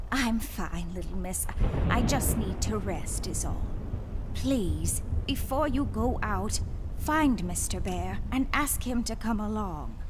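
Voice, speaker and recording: A female-sounding voice puts on a character voice at a fairly slow pace. Loud noise fills the background. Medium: game stream. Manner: polite, deferential, says "miss".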